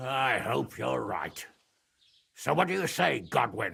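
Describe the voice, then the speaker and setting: A man's raspy, put-on character voice at medium pitch, with very wide pitch swings and a fairly slow pace. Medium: video game. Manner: gruff, blunt, irritable.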